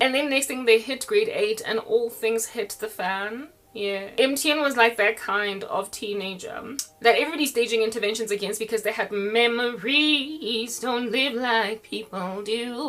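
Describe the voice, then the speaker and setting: Over noticeable background noise, a woman with a fairly high pitch speaks at a moderate pace in an animated tone with ordinary pitch variation. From South Africa. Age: 40s. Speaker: online preacher. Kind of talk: casual monologue.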